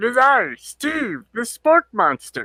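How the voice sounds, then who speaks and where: A man's put-on character voice, extremely high in pitch and very slow in pace. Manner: dramatic, theatrical announcement.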